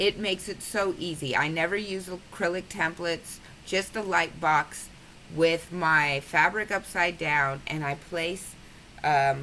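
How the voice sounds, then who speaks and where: A woman talks at a fairly slow pace in a fairly low pitch with ordinary pitch variation. Her tone is bright and sharp. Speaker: quilting tutorial maker. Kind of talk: tutorial.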